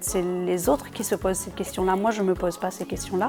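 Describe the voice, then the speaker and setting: In a Réunion accent, a woman speaks at medium pitch with ordinary pitch variation. Noticeable background noise runs underneath. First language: Réunion Creole (speaking French). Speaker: singer. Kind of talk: interview. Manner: halting, many repetitions and hesitations.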